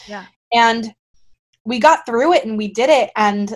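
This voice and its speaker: A woman with an American accent. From Florida. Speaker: musical theater actress. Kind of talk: interview. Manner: animated.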